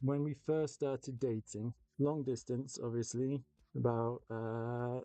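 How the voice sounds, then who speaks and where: Slow-ish in pace, a man speaks at a medium pitch in a dark, mellow tone with fairly even intonation. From England. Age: 30s. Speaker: miniature painting streamer. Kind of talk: casual live-stream chat while painting. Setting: live stream.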